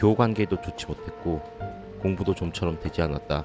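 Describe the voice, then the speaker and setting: Over music in the background, a man with a very deep, low voice speaks at a moderate pace with ordinary pitch variation. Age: 30s. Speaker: broadcast production worker. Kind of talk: personal vlog narration.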